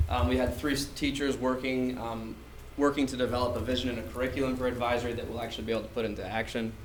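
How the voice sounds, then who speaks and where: Over noticeable background noise and audible room echo, a man with a medium pitch talks at a very fast pace with fairly even intonation. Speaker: teacher presenting to school board. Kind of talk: presentation. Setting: school board meeting. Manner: loud.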